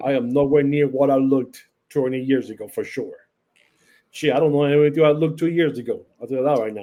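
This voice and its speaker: In a Puerto Rican accent, a man speaks very fast at a fairly high pitch with fairly even intonation. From Puerto Rico. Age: 50s. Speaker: wrestling podcast host, guest. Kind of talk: casual chat.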